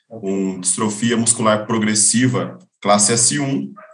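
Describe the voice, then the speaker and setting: With ordinary pitch variation, a man talks while audible room echo lingers around his voice. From interior of São Paulo state, Brazil. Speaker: swimming coach. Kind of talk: casual interview.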